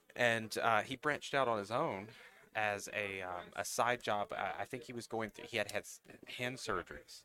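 Here a man speaks with a Southern US accent, at medium pitch and a moderate pace. His tone is bright and sharp, with ordinary pitch variation. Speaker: national account manager for a distributor. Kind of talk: casual chat.

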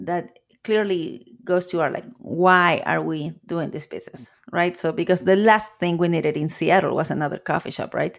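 Over a very clean recording with a silent background, a woman speaks at a fairly low pitch in a Chilean accent. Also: ordinary pitch variation, moderate pace. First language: Spanish. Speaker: coffee shop owner. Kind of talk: interview. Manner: repeats words when searching for phrasing.

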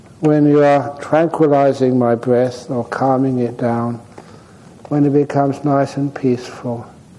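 Against noticeable background noise, a man speaks at a fairly slow pace in a fairly high pitch with fairly even intonation. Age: 70s. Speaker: meditation teacher. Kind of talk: dharma talk at a retreat. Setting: meditation retreat center.

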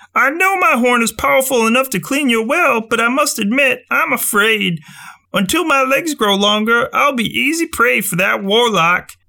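A man uses a put-on character voice pitched extremely high, delivered at a moderate pace. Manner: anxious, fearful.

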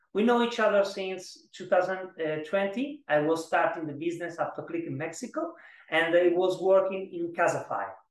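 A high-pitched man's voice with an Italian accent and ordinary pitch variation. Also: moderate pace. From Italy (Florence). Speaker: startup founder and CEO. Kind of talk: interview. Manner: halting, with many repetitions.

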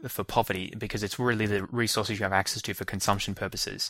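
A man with an Australian accent speaks very fast in a fairly low, bright, sharp voice with monotone, flat intonation. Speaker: educational podcast host. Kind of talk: solo lecture.

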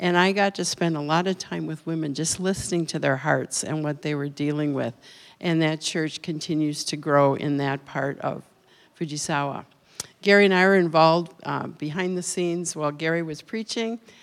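On a very clean recording with a silent background, a woman with an American accent speaks at a moderate pace in a very deep, low voice with fairly even intonation. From Minnesota. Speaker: retiring missionary. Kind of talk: missionary report. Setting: church.

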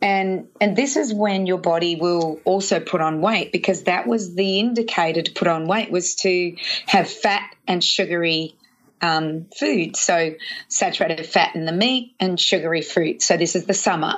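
A woman with an Australian accent speaks at a moderate pace and fairly low pitch, with ordinary pitch variation. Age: 50s. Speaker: nutritionist. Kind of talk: interview.

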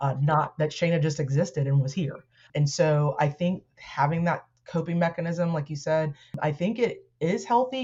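This woman's voice sits very deep and low. It comes across somewhat breathy. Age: 40s. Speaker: educator and activist. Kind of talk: casual interview chat.

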